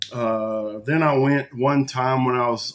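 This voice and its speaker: A man speaks with a Texas accent at a medium pitch. His pitch varies in an ordinary way. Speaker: video podcast host. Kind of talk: casual monologue. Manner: conversational, folksy.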